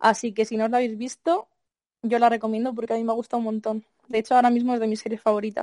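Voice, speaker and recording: With a dark, mellow tone, the speech comes at a very fast pace in monotone, flat intonation, the sound dry and close with no echo. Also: woman, fairly high pitch for a woman. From Madrid, Spain. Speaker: singer-songwriter. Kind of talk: interview.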